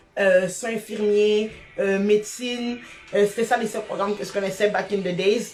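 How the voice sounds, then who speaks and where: Noticeable background noise sits behind a woman with a fairly high pitch. She speaks at a moderate pace with big swings in loudness. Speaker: abuse survivor sharing her story. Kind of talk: testimony. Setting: live stream. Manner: energetic.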